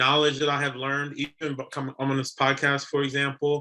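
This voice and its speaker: Fairly high for a man, his bright, sharp voice moves at a fairly quick pace. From US, Haitian immigrant family. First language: French and Haitian Creole. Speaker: real estate investor and retired military officer. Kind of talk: podcast interview.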